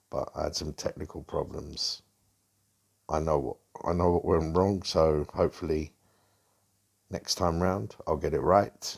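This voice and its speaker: Speaking at a fairly slow pace with long, frequent pauses, a man comes through on a very clean recording with a silent background. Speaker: football fan vlogger. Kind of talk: solo football commentary vlog. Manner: monotone.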